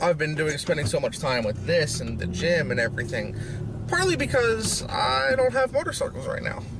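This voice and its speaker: The sound is dry with no echo as a man talks at a moderate pace, noticeable background noise behind him. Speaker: fitness vlogger. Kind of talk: casual vlog chat. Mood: relaxed, chipper. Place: car. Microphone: lapel.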